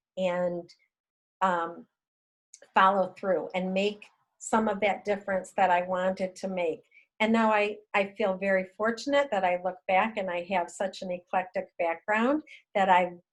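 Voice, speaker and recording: A woman's medium-pitched voice at a fairly slow pace, with fairly even intonation over a quiet background. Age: 60s. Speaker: retired educator, regenerative agriculture advocate. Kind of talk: interview conversation. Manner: halting.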